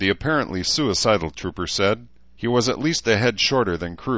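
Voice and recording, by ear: With lively intonation, the reading aloud comes in a natural voice.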